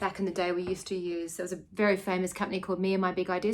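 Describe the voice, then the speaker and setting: Very fast speech in an Australian accent. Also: woman. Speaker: scrapbooker and teacher. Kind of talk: casual video chat. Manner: casual, with many fillers.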